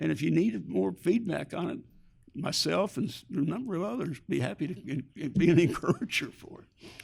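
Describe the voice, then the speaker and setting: A man with an American accent talks at a fairly quick pace with fairly high pitch and vocal fry. His delivery has very wide pitch swings and big swings in loudness. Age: 70s. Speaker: real estate executive, program founder. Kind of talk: podcast interview. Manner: halting, many repetitions; animated.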